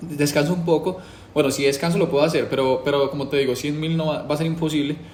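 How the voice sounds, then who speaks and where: Very fast, monotone, flat delivery from a man at a fairly high pitch, with audible room echo. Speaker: YouTuber doing a challenge. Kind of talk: casual monologue to camera. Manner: casual, hesitant with fillers.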